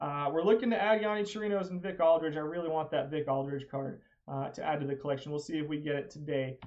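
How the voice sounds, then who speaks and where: The speech moves at a fairly quick pace. Pitch varies in an ordinary way. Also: man. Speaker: video game streamer. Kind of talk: live stream commentary. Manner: fast.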